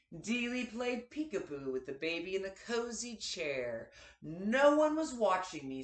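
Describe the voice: The voice is plain reading aloud. The text is simply read out.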